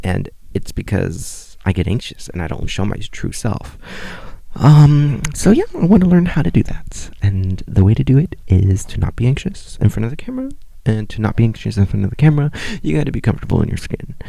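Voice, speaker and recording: A man talks fairly quickly against noticeable background noise. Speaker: podcast host. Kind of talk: casual monologue. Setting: home recording, on bedroom floor. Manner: stutters when nervous on camera; hesitant, many fillers.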